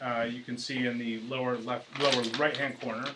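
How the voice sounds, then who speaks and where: A man of medium pitch at a moderate pace, with noticeable background noise and audible room echo. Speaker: real estate developer representative. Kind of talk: presentation to town council. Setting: council meeting. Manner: halting, many fillers and restarts.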